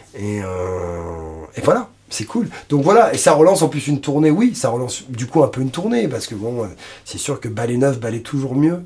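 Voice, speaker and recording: A somewhat breathy voice with a dark, mellow tone moves at a moderate pace with very wide pitch swings. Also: man, medium pitch for a man. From France, Paris region (Suresnes). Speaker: blues singer-guitarist. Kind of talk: interview. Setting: recording studio.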